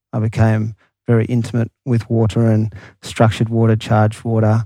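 Over a silent background in a very clean recording, a man with an Australian accent talks at a moderate pace in a medium pitch with a dark, mellow tone. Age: 40s. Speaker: guest entrepreneur. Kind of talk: casual interview chat.

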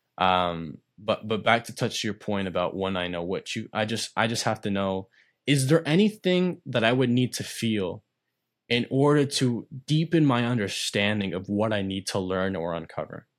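In an ordinary speaking voice, a man talks at a moderate pace with lively intonation. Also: fairly low pitch for a man, very clean recording, silent background. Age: 20s. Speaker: podcast host. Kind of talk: interview.

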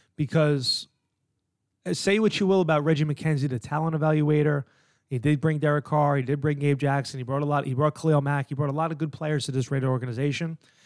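Someone talks at a very fast clip. The accent is American. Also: man, fairly high pitch for a man. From New York. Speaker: sports podcast host. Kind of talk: solo sports commentary. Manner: animated.

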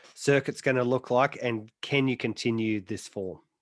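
With an Australian accent, this man talks. His intonation remains fairly level throughout. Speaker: motorsport podcast host. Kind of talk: casual chat.

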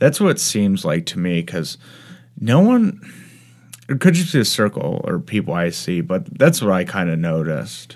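At a moderate pace, a man with a fairly low pitch speaks with very wide pitch swings. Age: 20s. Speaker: podcast host and comedian. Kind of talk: casual chat. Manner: hesitant, many fillers.

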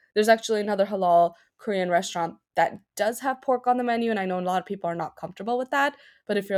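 With an American accent, this woman talks. Her delivery moves at a very fast pace. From New York City, Queens. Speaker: food blogger. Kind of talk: interview. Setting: remote recording.

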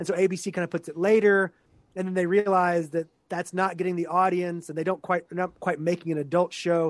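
A man with an American accent speaks at a fairly quick pace. His high voice stays monotone and flat. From Texas. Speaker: professor. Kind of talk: interview. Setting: video call.

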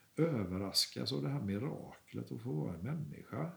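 His pitch swings very widely. The man also talks with vocal fry. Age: 60s. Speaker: artist. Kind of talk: interview. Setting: artist's studio. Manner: calm.

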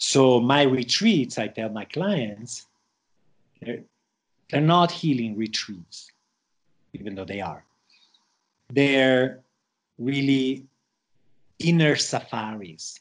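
A medium-pitched man at a very slow pace, with lively intonation, big swings in loudness and long, frequent pauses. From Switzerland, of Spanish parents, raised all over the world. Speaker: shaman and plant medicine facilitator. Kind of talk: interview conversation.

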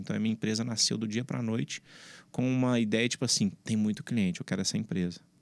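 A man with a plain, everyday voice talks at a medium pitch with ordinary pitch variation, captured dry and close with no echo in a very clean recording with a silent background. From Brazil, Belo Horizonte (Minas Gerais). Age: 30s. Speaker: entrepreneur, founder of a security company. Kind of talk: interview, casual conversation.

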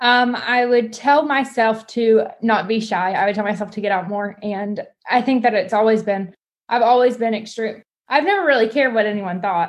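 A woman speaks in an ordinary speaking voice, fairly high-pitched, at a moderate pace with ordinary pitch variation against a quiet background. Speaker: business co-owner. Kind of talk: interview.

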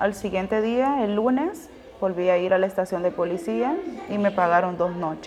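Female speech at a moderate pace over noticeable background noise. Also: medium pitch for a woman, lively intonation. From Honduras. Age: 20s. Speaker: asylum seeker sharing her story. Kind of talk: testimony.

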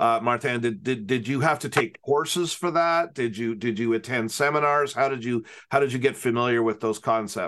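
A man with a normal speaking voice, ordinary pitch variation and a moderate pace, against a quiet background. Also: medium pitch for a man. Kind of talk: casual interview. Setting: video call.

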